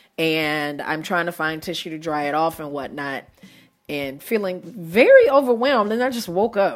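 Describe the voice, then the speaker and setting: Music plays behind a woman with a fairly low voice and very wide pitch swings. Her loudness rises and falls sharply at a moderate pace. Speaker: podcast host and educator. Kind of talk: casual solo podcast monologue. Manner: animated, expressive.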